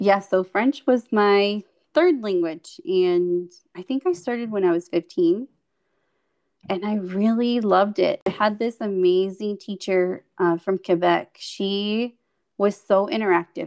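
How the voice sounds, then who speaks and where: A woman speaks at a fairly slow pace. Her voice is medium-pitched, with ordinary pitch variation. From Mexico (Chihuahua), some childhood in California. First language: Spanish. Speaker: speech-language pathologist and podcast co-host. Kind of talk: casual interview telling life story.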